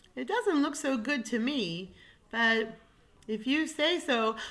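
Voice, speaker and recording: A female-sounding voice does a put-on character voice at a high pitch and a fairly slow pace. The recording is very clean, with a silent background. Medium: read story.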